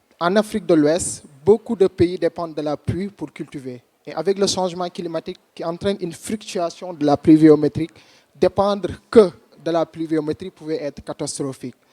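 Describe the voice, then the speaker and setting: A dark, mellow voice in a strong Senegalese accent at a fairly quick pace, with a dry, close sound and no echo. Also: man, high pitch for a man, ordinary pitch variation, big swings in loudness. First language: French or Wolof. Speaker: startup founder. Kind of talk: competition pitch.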